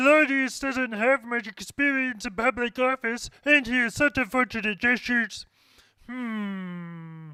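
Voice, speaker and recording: Using a cartoonish character voice at an extremely high pitch, a man speaks at a fairly slow pace in a very clean recording with a silent background. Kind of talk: fictional dramatization monologue. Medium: puppet.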